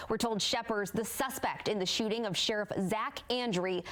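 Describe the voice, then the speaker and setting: Over noticeable background noise, a woman with an American accent talks at a fairly quick pace, using a fairly high pitch with ordinary pitch variation. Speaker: local TV news anchor and reporter. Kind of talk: TV news anchor read. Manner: professional, serious, clear.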